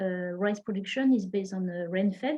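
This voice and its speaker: This woman talks at a moderate pace with a French accent. Her intonation stays fairly even. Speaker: researcher presenting a study. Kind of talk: online presentation. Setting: online session. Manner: halting, many fillers.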